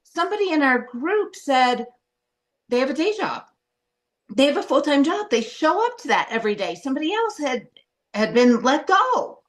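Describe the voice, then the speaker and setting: A woman speaks loudly in a high, animated voice with very wide pitch swings. Her pace is moderate, broken by long, frequent pauses. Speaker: coaching program participant. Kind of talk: personal sharing in group call.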